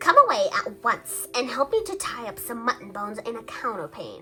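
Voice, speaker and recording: In a put-on character voice, a woman speaks with a high pitch. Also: moderate pace. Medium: read story. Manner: brisk, no-nonsense.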